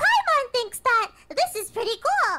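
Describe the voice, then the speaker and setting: Someone uses a put-on character voice at an extremely high pitch. The pace is fairly slow. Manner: cute, cartoonish.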